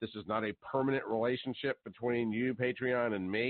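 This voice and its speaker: This is an ordinary speaking voice from a man of medium pitch. He talks at a fairly quick pace with fairly even intonation. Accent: American. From US South. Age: 50s. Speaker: talk radio host. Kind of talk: talk radio monologue. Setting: live call-in show.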